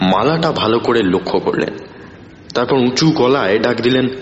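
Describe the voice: The text is read aloud plainly. The intonation is lively.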